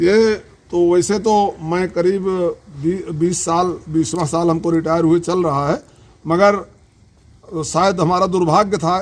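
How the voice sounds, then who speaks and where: This man's voice sits at a high pitch. His pitch varies in an ordinary way. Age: 70s. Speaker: retired soldier. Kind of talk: interview. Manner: halting.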